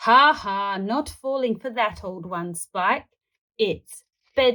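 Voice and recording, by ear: The background stays quiet while a passage is read aloud in a natural voice.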